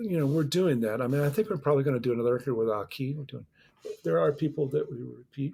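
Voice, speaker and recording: Somewhat breathy speech from a man, recorded very cleanly against a silent background. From US Midwest, Chicago North Shore. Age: 60s. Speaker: musician and record producer. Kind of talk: interview conversation. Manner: halting, many repeated words.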